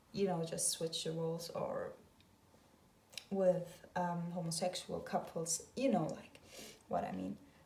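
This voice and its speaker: A woman's fairly slow delivery in a non-native accent, broken by long, frequent pauses. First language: not English. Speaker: tarot reader. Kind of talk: tarot reading video monologue. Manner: hesitant, many filler sounds.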